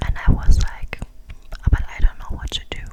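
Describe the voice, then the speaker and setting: A woman's whisper unfolds at a fairly slow pace, with noticeable background noise around it. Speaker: ASMR creator. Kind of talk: casual personal chat. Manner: whispered.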